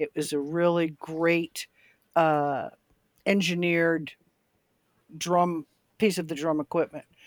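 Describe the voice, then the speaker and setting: A woman's fairly low voice, monotone and flat, at a very slow pace with long, frequent pauses, in a dry, close sound with no echo. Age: 70s. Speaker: drummer, former rock band member. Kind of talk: casual podcast chat.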